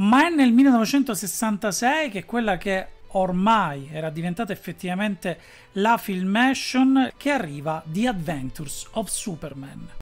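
Faint background music behind a man's moderately paced speech. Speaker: presenter. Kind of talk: commentary. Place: home room.

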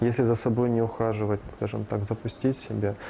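Under light background noise, a man speaks at a moderate pace, his fairly low voice monotone and flat. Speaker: plastic surgeon. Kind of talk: interview. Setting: studio. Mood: calm, explanatory. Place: office. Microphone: lapel.

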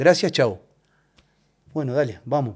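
A man with an Argentine accent at a fairly quick pace, the background quiet. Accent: Rioplatense Argentine Spanish. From Argentina, La Plata; Argentina. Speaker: football referee; guest. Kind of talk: casual interview chat. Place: studio. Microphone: studio mic.

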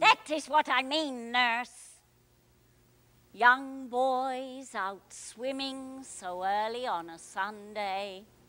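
A very slow delivery with ordinary pitch movement and big swings in loudness. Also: woman, high pitch for a woman. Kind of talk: Broadway stage acting. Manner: querulous, imperious.

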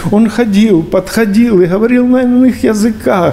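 The man's voice is high, and he talks at a moderate pace with ordinary pitch variation. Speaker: bishop, preacher. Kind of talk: sermon. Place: church.

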